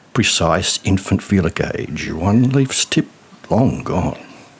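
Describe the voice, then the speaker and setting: A man at a very slow pace and with lively intonation, amid noticeable background noise. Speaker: poet. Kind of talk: spoken word poetry.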